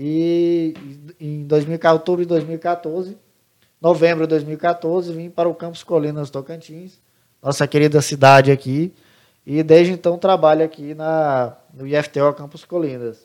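A man with a fairly high voice speaks fairly slowly in a monotone, flat intonation, with big swings in loudness. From Santa Catarina, Brazil; grew up from age 10 in Pará. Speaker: computing teacher. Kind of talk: interview.

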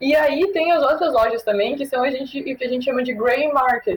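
A woman with a high pitch speaks at a moderate pace with ordinary pitch variation. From Brazil. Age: 20s. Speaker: cannabis content creator. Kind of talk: casual chat.

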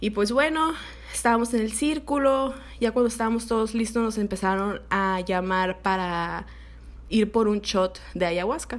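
An ordinary speaking voice from a woman, fairly high in pitch and fairly slow, with ordinary pitch variation. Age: 20s. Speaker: podcast host. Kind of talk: personal storytelling monologue.

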